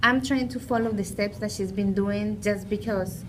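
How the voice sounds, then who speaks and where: A woman speaks at a moderate pace in a Peruvian accent. Audible room echo surrounds her voice. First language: Spanish. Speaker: small business owner. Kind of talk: casual chat.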